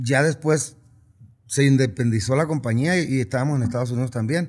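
A man's somewhat breathy voice at a moderate pace, with ordinary pitch variation, over a quiet background. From Sinaloa, Mexico. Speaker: regional Mexican singer; interviewee. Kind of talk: casual interview. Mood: relaxed, reflective. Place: studio. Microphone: studio mic.

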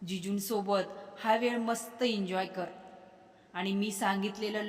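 The delivery is plain reading aloud. Its intonation stays fairly even.

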